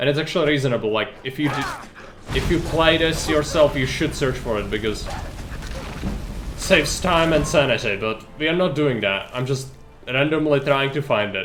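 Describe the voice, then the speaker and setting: Speaking at a fairly quick pace with a non-native accent, a man uses fairly high pitch and lively intonation amid noticeable background noise. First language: not English. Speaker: video game streamer. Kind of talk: live gameplay commentary. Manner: casual, conversational.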